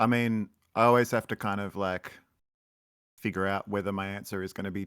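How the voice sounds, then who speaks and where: A man's fairly low voice with an Australian accent and fairly even intonation, on a very clean recording with a silent background. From Australia, Melbourne. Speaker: musician. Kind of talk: interview.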